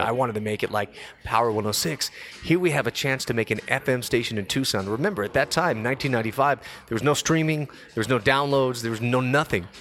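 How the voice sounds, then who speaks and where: A man with an American accent talks at a fairly quick pace, with ordinary pitch variation. Music plays in the background. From Los Angeles, California. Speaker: DJ and radio personality. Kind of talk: casual chat. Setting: studio.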